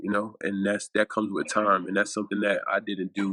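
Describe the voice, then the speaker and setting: The sound is dry and close with no echo as a man talks in an American accent. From US Northeast (Staten Island, New York). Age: 30s. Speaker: former pro football player. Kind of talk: interview. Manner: halting.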